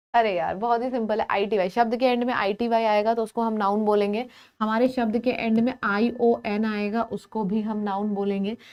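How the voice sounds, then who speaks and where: Monotone, flat intonation with hardly any pauses. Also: woman, fairly high pitch for a woman. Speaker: English teacher for exam prep. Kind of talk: live online class. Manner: soft-spoken.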